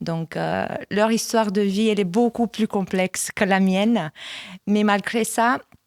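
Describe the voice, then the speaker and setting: A woman with a Romanian accent at medium pitch, fairly slow and fairly even in intonation, in a dry, close sound with no echo. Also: very clean recording, silent background. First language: Romanian (speaking French). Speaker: church communications manager. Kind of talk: testimony. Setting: studio.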